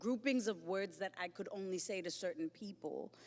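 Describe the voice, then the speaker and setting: A woman with a Lesotho accent speaks at a fairly slow pace. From South Africa, Johannesburg. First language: Sesotho. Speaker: poet. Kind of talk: panel discussion. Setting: stage with live audience.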